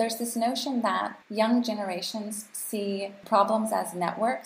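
Noticeable background noise accompanies a woman talking in an American accent. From US and Canada. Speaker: global health advocate and policy researcher. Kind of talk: casual chat.

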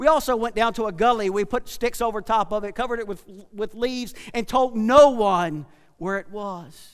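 On a very clean recording with a silent background, a man speaks in a rural Southern US accent. His pitch is high, with ordinary variation and an animated tone. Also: moderate pace. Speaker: pastor. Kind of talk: sermon. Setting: church. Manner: animated, preacherly.

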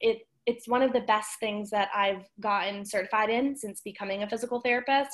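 Her intonation stays fairly even, and her pitch is fairly high. This woman has a plain, everyday voice. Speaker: physical therapist and wellness influencer. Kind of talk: casual chat.

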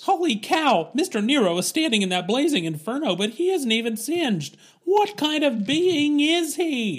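This is a put-on character voice set at a high pitch. Its pitch swings very widely. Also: moderate pace. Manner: excited, wide-eyed.

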